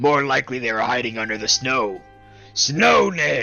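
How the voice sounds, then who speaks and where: Over faint music in the background, a man puts on a raspy character voice at medium pitch and a moderate pace. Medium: read story. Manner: loud, hearty.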